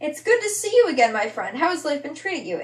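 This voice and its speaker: Squeaky and extremely high-pitched, a woman puts on a character voice at a very fast pace with very wide pitch swings. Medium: read story.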